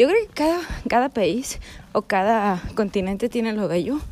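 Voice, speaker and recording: Her voice is fairly high for a woman. The pitch varies in an ordinary way. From US–Mexico border region. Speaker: travel vlogger on pilgrimage. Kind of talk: vlog monologue. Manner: halting, many fillers.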